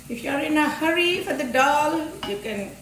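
A woman speaks at a moderate pace with very wide pitch swings. Light background noise and audible room echo are present. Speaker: home cook demonstrating recipe. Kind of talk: cooking tutorial. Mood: warm, humorous. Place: kitchen. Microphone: camera far.

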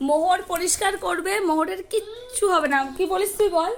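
A loud woman's voice at an extremely high pitch. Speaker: mother vlogger. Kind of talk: talking to child and viewers. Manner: loud scolding.

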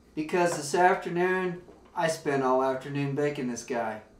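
A man talks fairly slowly in a room with audible echo, light background noise also present. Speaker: comedic actor. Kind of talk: scripted comedy dialogue. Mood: whiny, indignant complaining. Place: kitchen. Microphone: camera far.

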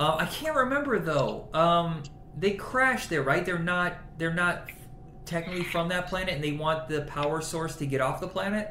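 Noticeable background noise and audible room echo surround a man speaking at a moderate pace. His pitch is high, with ordinary variation. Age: 40s. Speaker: podcast host. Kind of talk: casual chat.

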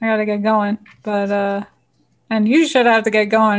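In a New Jersey accent, a woman speaks at a medium pitch with fairly even intonation. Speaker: home cook and cooking channel host, former flight attendant. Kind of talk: casual interview. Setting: video call from home kitchen.

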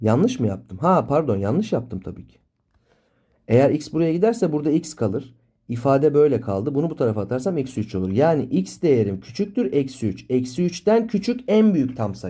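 The voice is somewhat breathy with a dark, mellow tone. It has very wide pitch swings and big swings in loudness. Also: man, medium pitch for a man, moderate pace. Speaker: math teacher. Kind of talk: tutorial. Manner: explanatory, engaging students with questions.

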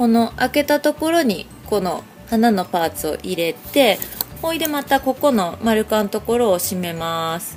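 Faint music plays in the background. The speech moves at a moderate pace with very wide pitch swings. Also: woman. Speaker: craft shop owner. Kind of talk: craft tutorial narration. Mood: friendly, cheerful. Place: shop. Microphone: phone near.

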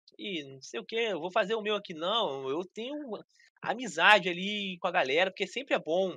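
A man with a high voice speaks at a fairly quick pace, his pitch varying in an ordinary way, in a dry sound with no echo. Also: quiet background. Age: 30s. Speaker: gaming youtuber; podcast guest, mobile game content creator. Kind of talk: casual interview chat; interview answer. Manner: halting, repeats words. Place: home room. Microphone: video call.

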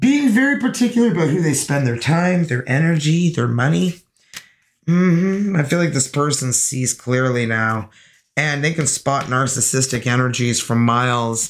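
A woman at an extremely low pitch, with lively intonation. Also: moderate pace.

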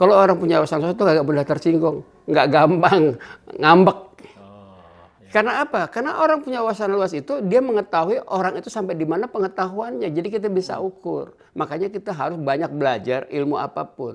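A man talks at a very fast pace. His voice is high-pitched with lively intonation. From Jakarta, Betawi; Jakarta. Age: 70s. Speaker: Betawi cultural figure; interviewee. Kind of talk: casual interview. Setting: at his home. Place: home room. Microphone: lapel.

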